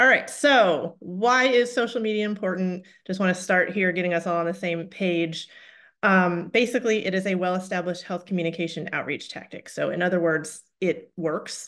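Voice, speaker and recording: At a moderate pace, a woman speaks with a medium pitch and ordinary pitch variation over a quiet background. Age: 40s. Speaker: health communication director, webinar trainer. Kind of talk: webinar training presentation. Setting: online webinar. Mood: friendly, upbeat. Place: home room. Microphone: webcam.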